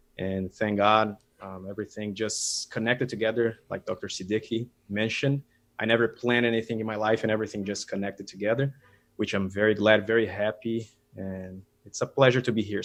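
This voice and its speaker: In a Brazilian Portuguese accent, a man speaks fairly quickly in a fairly low, monotone, flat voice. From Brazil, São Paulo. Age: 30s. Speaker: dentist and materials scientist. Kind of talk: casual interview. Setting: video call.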